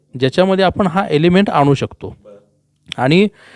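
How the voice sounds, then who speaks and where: A man speaks in a high pitch. The sound is dry and close with no echo, over a quiet background. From Sangli district, Maharashtra (Maandesh). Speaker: film director. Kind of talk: interview.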